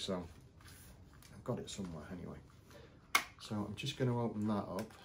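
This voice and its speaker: Light background noise sits behind a man speaking at a fairly quick pace. He has a fairly low pitch and a plain, everyday voice. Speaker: toy shop owner reviewer. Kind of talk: casual unboxing review. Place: shop.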